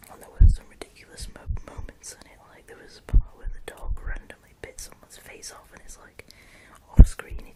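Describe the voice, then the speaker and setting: A whisper at a moderate speed, with noticeable background noise behind it. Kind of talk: casual chat about movies. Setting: home, late at night. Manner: whispered.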